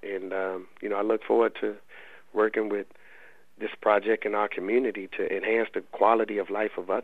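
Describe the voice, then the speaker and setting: A man with a fairly low pitch talks in a monotone, flat intonation with an American accent. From US South, Raleigh, North Carolina. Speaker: college basketball head coach. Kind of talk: radio interview.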